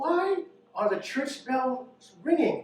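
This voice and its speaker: A whiny, high-pitched put-on character voice with very wide pitch swings and slight echo. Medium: read story.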